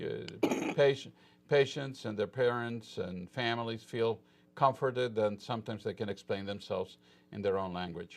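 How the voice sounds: A man speaks at a fairly slow pace in a fairly low pitch, with vocal fry and ordinary pitch variation.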